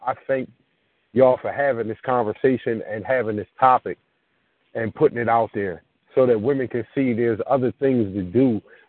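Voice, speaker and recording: A man with an American accent speaks at a medium pitch and a moderate pace, with fairly even intonation. It is an unremarkable speaking voice. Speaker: caller. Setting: phone call.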